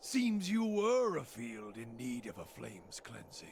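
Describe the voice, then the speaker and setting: A put-on character voice at low-to-middle pitch, with clear background noise. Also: moderate pace. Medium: video game. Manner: formal, solemn.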